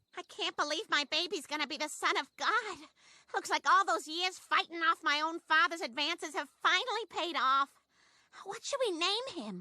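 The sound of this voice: A cartoonish character voice with lively intonation at a moderate pace, the sound dry and close with no echo. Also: woman, extremely high pitch for a woman.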